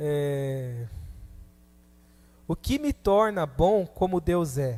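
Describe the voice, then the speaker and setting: On a very clean recording with total background silence, a man speaks. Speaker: preacher. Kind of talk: sermon.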